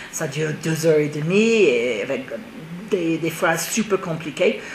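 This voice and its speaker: With an English accent, a woman speaks at a fairly slow pace in a fairly low pitch, with lively intonation. Long, frequent pauses break her speech over noticeable background noise. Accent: English-speaking accent in French. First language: English (speaking French). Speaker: theatre director. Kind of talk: TV interview.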